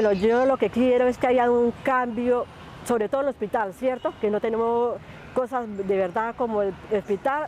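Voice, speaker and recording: A woman speaks at a fairly high pitch with fairly even intonation and a fairly slow pace. Noticeable background noise sits behind her. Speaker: street interviewee. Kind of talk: street interview.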